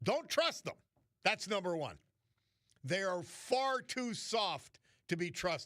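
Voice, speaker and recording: Speaking with an American accent, a man uses a high pitch and a bright, sharp tone. His very slow delivery has very wide pitch swings and long, frequent pauses. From New York City. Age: 60s. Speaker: radio host. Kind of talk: talk radio monologue. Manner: animated.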